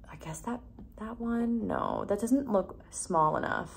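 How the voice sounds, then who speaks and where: Soft-spoken and fairly slow, a woman talks with audible room echo around her. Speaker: beauty vlogger. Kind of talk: tutorial.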